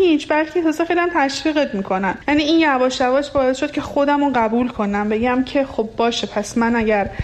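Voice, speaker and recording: A woman's high voice in a Lorestan accent, fairly quick, with ordinary pitch variation and very even loudness, over noticeable background noise. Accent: Luri-accented Persian. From Iran, Lur region. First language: Luri (speaking Persian). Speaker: radio listener sharing experience. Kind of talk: personal testimony.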